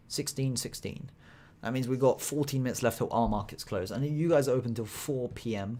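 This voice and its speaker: Speech at a fairly quick pace, with a British accent. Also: man. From Britain. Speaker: stock trader streamer. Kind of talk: live trading stream commentary. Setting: live stream. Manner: casual, chatty.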